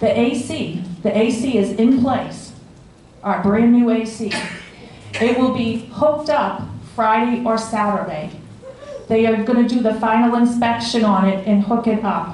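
At a fairly slow pace with long, frequent pauses, the speech keeps fairly even intonation and very even loudness, with audible room echo and light background noise. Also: woman. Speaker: board officer giving report. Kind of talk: meeting report to residents. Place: hall.

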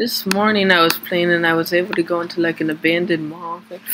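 The speech comes at a fairly quick pace. Noticeable noise sits in the background. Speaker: gaming youtuber. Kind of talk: casual gameplay commentary. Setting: home recording, screen capture. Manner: filler-heavy, halting.

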